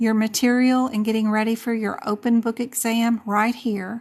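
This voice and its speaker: A woman at a fairly high pitch, monotone and flat in intonation, against a quiet background. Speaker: medical coding instructor. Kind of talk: live stream tutorial. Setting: live stream. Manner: casual, chatty; loud.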